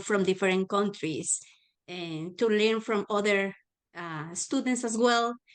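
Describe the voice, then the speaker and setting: Someone with a Spanish accent talks at a very slow pace with ordinary pitch variation. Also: woman. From Mexico, Guadalajara. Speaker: adult learner and volunteer tutor. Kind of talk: panel self-introduction.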